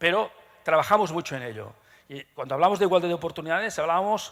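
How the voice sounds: Lively intonation marks this man's fairly quick delivery, carried by a fairly bright tone.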